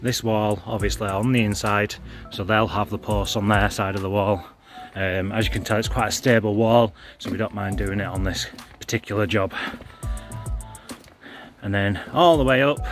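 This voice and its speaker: A man speaks at a moderate pace and fairly low pitch with fairly even intonation, leaving long, frequent pauses. The sound is dry with no echo, and faint music plays in the background. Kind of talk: casual vlog chat. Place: street. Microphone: phone near.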